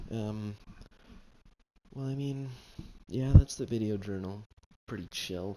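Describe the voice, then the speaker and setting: Someone whispers over music in the background. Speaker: gaming video diarist. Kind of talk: casual gameplay commentary. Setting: at home late at night. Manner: rambling with many fillers; whispering.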